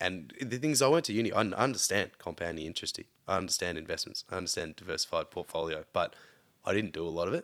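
A man with a very deep, low pitch and an Australian accent speaks at a very fast pace with lively intonation. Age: 30s. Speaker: podcast guest, friend of host. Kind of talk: casual chat.

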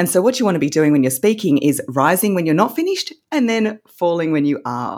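A woman with an Australian accent, fairly low in pitch, fairly quick, with very wide pitch swings. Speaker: voice coach. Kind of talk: casual interview chat.

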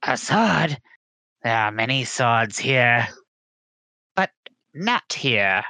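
A man speaks in a raspy put-on character voice. His pace is very slow. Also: medium pitch for a man.

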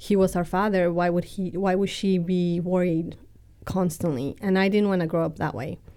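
A woman speaks in a monotone with flat intonation. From Mexico City. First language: Spanish. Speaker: churchgoer. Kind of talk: testimony. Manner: cheerful, laughs often.

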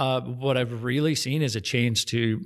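A man speaks with an American accent. His pitch is medium, with ordinary pitch variation. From Stillwater, Oklahoma. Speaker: business professor. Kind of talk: casual chat. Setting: studio.

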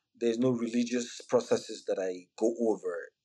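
A man speaks with a Nigerian accent. His pace is moderate. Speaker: physician and health IT executive. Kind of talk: podcast interview.

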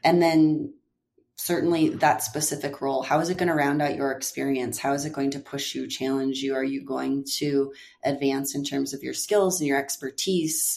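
A woman's very deep, low voice with an American accent, fairly even intonation and a moderate pace. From US Upper Midwest, near Fargo, North Dakota. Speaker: marketing executive. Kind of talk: interview.

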